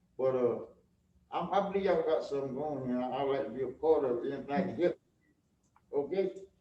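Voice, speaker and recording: Speaking at a very fast pace with long, frequent pauses, a man with an eastern North Carolina accent uses a fairly high pitch and ordinary pitch variation. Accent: US Southern, eastern North Carolina. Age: 70s. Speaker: garage owner. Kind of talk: informal remarks at public event. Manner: halting.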